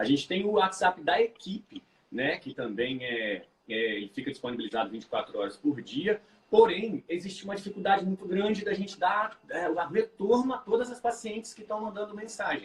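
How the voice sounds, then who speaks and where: His intonation rises and falls in a lively way. This man's voice sits high. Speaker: obstetrician. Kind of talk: live stream talk. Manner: fast.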